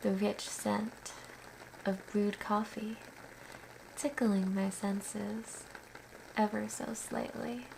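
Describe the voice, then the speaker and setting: Against noticeable background noise, a woman with a gentle tone speaks at a very slow pace with long, frequent pauses. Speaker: poet and writer. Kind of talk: poetry reading. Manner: slow, gentle, hushed.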